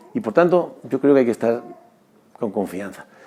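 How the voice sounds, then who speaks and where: The speaker is a man with a medium pitch. Noticeable background noise can be heard. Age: 60s. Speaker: former basketball player and sports doctor. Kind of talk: testimony. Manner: halting; earnest.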